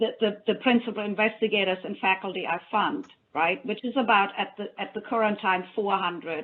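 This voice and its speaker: A woman with a German accent talks at a moderate pace, her fairly high pitch showing ordinary variation. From Germany. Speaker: funding program officer. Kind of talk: panel discussion.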